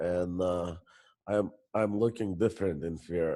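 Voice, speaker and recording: Fairly low in pitch, a man's voice has a dark, mellow tone. His intonation stays fairly even. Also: quiet background. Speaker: coaching call participant. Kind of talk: group coaching share. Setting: group call. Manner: halting.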